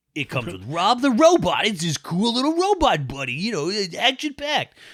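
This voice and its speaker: A man's put-on character voice, high pitched, with very wide pitch swings and a fairly quick pace. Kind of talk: retro advertising tone. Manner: upbeat, hyped, salesy.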